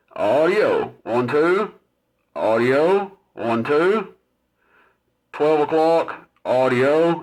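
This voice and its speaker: Speaking with a Tennessee accent, a man uses a fairly high pitch with ordinary pitch variation. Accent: Southern US (Tennessee). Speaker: CB radio reviewer. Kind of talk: product demonstration tutorial. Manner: casual, filler-heavy.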